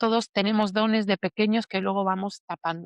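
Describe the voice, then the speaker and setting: A normal speaking voice at a moderate pace, dry and close with no echo, over a quiet background. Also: woman. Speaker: emotional healing teacher. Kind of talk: interview testimony.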